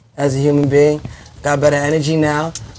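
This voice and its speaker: A man speaks at a fairly quick pace in a fairly high voice. Background noise is noticeable. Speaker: singer and rapper. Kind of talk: podcast interview.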